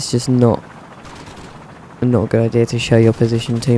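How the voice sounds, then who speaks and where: Against noticeable background noise, a man with a British accent talks at a moderate pace and medium pitch. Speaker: gaming video commentator. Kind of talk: gameplay commentary. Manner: monotone; dry, deadpan humour.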